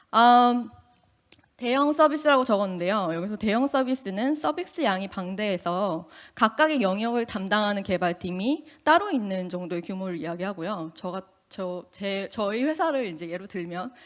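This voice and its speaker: A woman at medium pitch speaks at a moderate pace with lively intonation and big swings in loudness, on a very clean recording with a silent background. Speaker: UX engineer, conference speaker. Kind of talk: conference talk. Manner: casual, with fillers.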